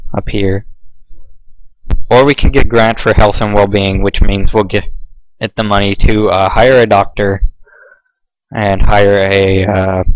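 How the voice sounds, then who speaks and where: Speaking at a fairly slow pace with long, frequent pauses, a man keeps a monotone, flat intonation at a fairly low pitch. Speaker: gaming video creator. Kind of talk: gameplay commentary. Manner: casual with many fillers.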